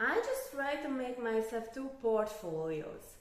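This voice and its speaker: A woman with a Hungarian accent speaks at a high pitch and a very slow pace. Room echo is audible. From Hungary. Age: 20s. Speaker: crypto youtuber. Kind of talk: casual talk to camera. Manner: halting, non-native phrasing.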